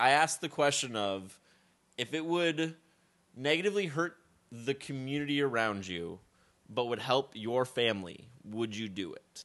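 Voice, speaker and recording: A man with a plain, everyday voice speaks at a medium pitch and a moderate pace. His intonation is lively, and the background is quiet. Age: 20s. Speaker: podcast co-host. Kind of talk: casual chat.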